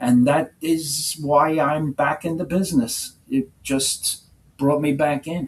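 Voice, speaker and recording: Somewhat breathy and fairly high in pitch, a man with a New York accent speaks very slowly with fairly even intonation. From New York City. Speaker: music manager. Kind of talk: interview.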